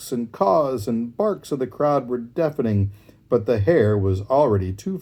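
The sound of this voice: The delivery is an unforced reading voice. Its intonation is lively.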